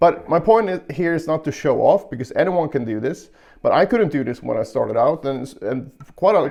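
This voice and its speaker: Speaking at a moderate pace, a man with an unremarkable speaking voice and fairly high pitch uses lively intonation. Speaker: guitar teacher. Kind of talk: tutorial.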